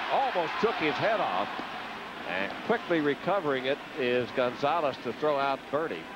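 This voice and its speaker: There is noticeable background noise behind this man. He sounds animated and leaves long, frequent pauses. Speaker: play-by-play baseball announcer. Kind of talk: live commentary. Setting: stadium broadcast booth. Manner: fast, animated play-by-play call.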